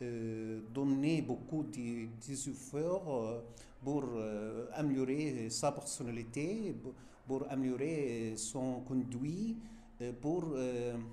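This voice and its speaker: A man with a medium pitch speaks at a very slow pace, his pitch varying in an ordinary way. Both room echo and noticeable background noise can be heard. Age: 60s. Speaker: French teacher. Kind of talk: interview. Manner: halting, many hesitations.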